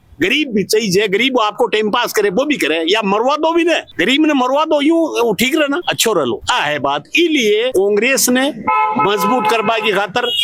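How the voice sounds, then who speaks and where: Over noticeable background noise, a man with an extremely high pitch talks in an animated tone, swinging very widely in pitch while keeping his loudness very even. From Rajasthan, rural Jaipur (Jhotwara). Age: 60s. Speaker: villager, pensioner. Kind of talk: street interview.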